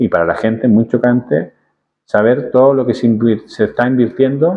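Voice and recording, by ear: Speaking at a moderate pace and medium pitch, a man has a dark, mellow tone with a slightly husky edge and ordinary pitch variation.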